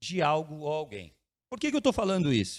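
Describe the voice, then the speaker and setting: A man's voice with very wide swings in pitch. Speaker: pastor. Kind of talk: sermon.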